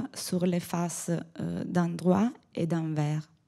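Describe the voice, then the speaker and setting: Speaking very slowly, a woman with an Italian accent has a fairly low pitch and a dark, mellow tone. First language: Italian (speaking French). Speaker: textile conservator. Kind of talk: conference talk read aloud. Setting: conference podium. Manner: halting.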